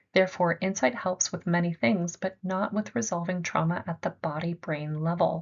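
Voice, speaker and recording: The voice is somewhat breathy, with fairly even intonation and hardly any pauses. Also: woman, fairly low pitch for a woman. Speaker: art therapy presenter. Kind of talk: lecture. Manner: fast.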